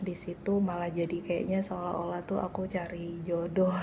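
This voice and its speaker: Soft-spoken and fairly low-pitched, a woman talks at a fairly slow pace in a monotone, flat delivery, with audible room echo and noticeable background noise. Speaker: vlogger, civil servant. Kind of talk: casual vlog monologue. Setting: office meeting room. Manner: soft-spoken, quiet; hesitant, many fillers.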